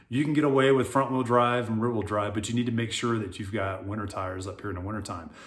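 A man with an American accent and medium pitch talks at a very fast pace. He leaves hardly any pauses, and audible room echo is heard. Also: ordinary pitch variation. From US South, South Florida. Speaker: real estate agent, retired military. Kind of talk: casual video monologue.

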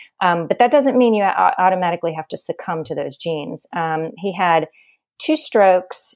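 A woman with a normal speaking voice, a fairly low pitch, an American accent, ordinary pitch variation, and a moderate pace. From US South, New Orleans. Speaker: registered nurse and wellness coach. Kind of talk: interview. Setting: remote call.

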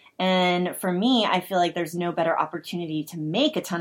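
A woman's normal speaking voice, fairly low in pitch, with ordinary pitch variation, a fairly quick pace and a very clean recording over a silent background. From Oklahoma. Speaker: podcast co-host. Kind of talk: casual interview.

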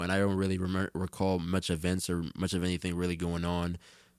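A man's very deep, low voice with an American accent, fairly even intonation and a moderate pace, on a very clean recording with a silent background. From New Jersey. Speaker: musician and event promoter. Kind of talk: casual chat.

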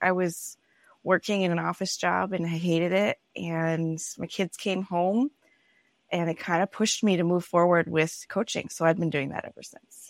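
A woman's unremarkable speaking voice with an American accent, fairly low in pitch, with big swings in loudness, in a very clean recording with a silent background and a dry, close sound with no echo. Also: fairly even intonation, moderate pace. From Minnesota, US Upper Midwest. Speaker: personality coach, former pastor. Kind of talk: casual interview chat.

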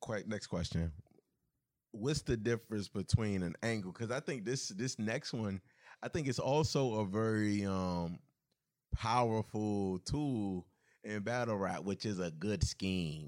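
A man with an unremarkable speaking voice talks at a fairly slow pace, his fairly low pitch varying an ordinary amount. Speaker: podcast host. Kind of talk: casual interview conversation.

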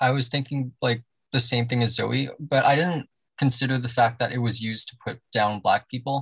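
With a Canadian accent, a man talks at a moderate pace in an ordinary speaking voice, medium in pitch with fairly even intonation, recorded dry and close with no echo. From Canada, Toronto. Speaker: podcast guest. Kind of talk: casual chat.

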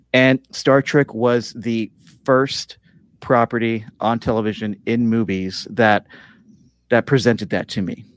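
Dry and close with no echo, a man's ordinary speaking voice comes at a fairly slow pace, medium in pitch with fairly even intonation. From Mexican-American family, Spanish-speaking household. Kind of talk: live panel discussion. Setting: video call.

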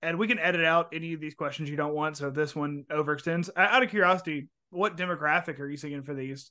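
A man with an American accent talks at a very fast pace in a fairly high, bright, sharp voice. His pitch varies in an ordinary way against a quiet background. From US South. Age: 20s. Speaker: podcast host. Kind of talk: casual interview chat.

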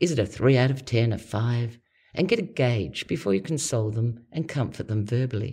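Speaking at a fairly quick pace in an Australian accent, a woman has a very deep, low pitch and a dark, mellow, somewhat breathy tone on a very clean recording with a silent background. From Australia, Adelaide. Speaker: podcast host and personality coach. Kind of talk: scripted narration.

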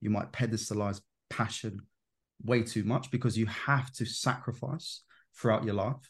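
A man speaks at a medium pitch, somewhat breathy, over a quiet background. His pace is moderate and his intonation fairly even. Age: 20s. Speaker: self-development coach on Jungian psychology. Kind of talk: casual interview chat.

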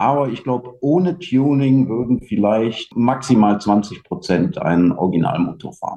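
The voice has a dark, mellow tone and very wide pitch swings. It runs on with hardly any pauses. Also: man, medium pitch for a man, moderate pace. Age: 40s. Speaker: vintage scooter club organizer. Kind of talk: casual chat. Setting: video call.

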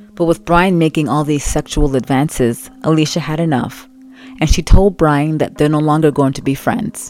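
A woman speaks at a moderate pace with a very deep, low pitch and ordinary pitch variation. Music plays in the background. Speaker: true crime podcaster. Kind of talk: true-crime narration, scripted storytelling. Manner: conversational, empathetic, chatty storyteller; animated, casual asides.

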